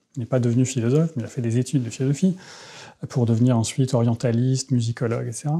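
Talking at a very fast pace, a man sounds somewhat breathy, keeps a fairly even intonation and has a quiet background. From France (childhood in Tehran, Iran). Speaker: philosopher; interviewee. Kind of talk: interview; interview answer. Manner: halting, many hesitations. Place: home room. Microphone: lapel.

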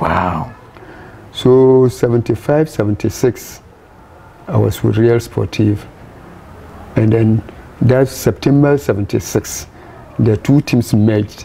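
The speech moves at a very slow pace with long, frequent pauses, very even loudness and ordinary pitch variation. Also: man, medium pitch for a man. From Ghana, Ashanti; Ghana. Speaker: former footballer; interviewee. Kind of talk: interview. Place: home room.

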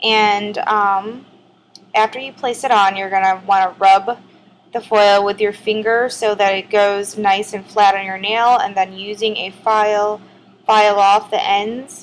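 A woman's medium-pitched voice, fairly slow, with monotone, flat intonation. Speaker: nail art youtuber. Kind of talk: tutorial. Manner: casual, chatty.

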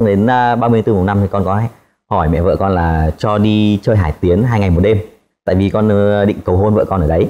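With a dark, mellow tone and fairly low pitch, a man speaks at a moderate pace, keeping fairly even intonation and very even loudness. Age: 20s. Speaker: engineer. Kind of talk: casual chat. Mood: cheerful, animated. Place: studio.

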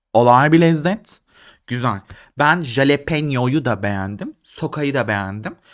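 Animated, playful delivery with lively intonation at a fairly slow pace, over a very clean recording and silent background. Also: man, fairly high pitch for a man. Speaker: video creator / vlogger. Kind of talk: casual comedic monologue to camera, food tasting. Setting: home, video recording late at night. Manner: animated, sarcastic, playful.

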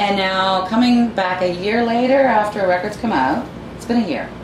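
The talking moves at a moderate pace against noticeable background noise. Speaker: music interviewer. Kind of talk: casual interview. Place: home room.

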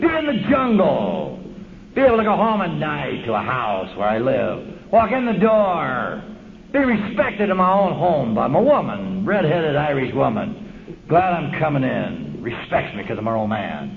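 With an American accent and a high pitch, a man talks at a moderate pace with very wide pitch swings, noticeable background noise behind him. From Los Angeles, US West Coast; California. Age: 50s. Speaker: AA speaker. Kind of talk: recovery talk. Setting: stage with audience. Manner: animated. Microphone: old recording.

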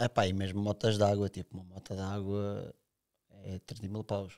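A man's fairly low, dark and mellow voice, monotone and flat, fairly slow with long, frequent pauses, over a quiet background. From Sintra, Portugal; Portugal. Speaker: big wave surfer; podcast guest. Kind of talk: casual chat. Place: studio. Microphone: studio mic.

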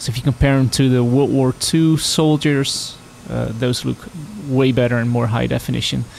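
With fairly even intonation, a man talks at a moderate speed, and noticeable noise sits in the background. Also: medium pitch for a man. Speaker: gaming video creator. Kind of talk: gameplay commentary. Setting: home recording over game audio. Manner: hesitant, many fillers; slurred speech at times.

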